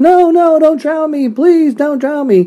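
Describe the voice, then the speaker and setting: A man does a put-on character voice at an extremely high pitch, going at a fairly slow pace. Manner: mock pleading.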